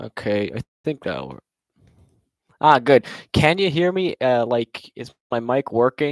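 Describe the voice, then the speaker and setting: Using long, frequent pauses and big swings in loudness, a man with a medium pitch talks at a fairly slow pace with ordinary pitch variation, in a dry, close sound with no echo. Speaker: robotics competitor and livestreamer. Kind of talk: casual livestream chat. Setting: live stream with webcam.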